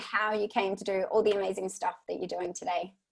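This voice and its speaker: A woman talks with an Australian accent. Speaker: podcast host. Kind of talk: podcast interview.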